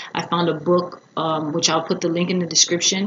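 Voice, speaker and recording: A woman talks at a fairly low pitch. Background noise is noticeable behind her. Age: 30s. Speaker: singer and vlogger. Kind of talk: casual vlog. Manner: casual, filler-heavy.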